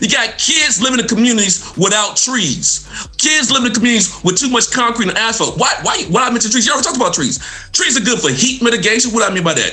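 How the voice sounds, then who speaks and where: A man's extremely high, raised and projected voice with an American accent, animated, with lively intonation and very even loudness, at a very fast pace, amid noticeable background noise and audible room echo. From Mississippi, US South. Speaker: environmental health professor. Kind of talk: radio talk show interview.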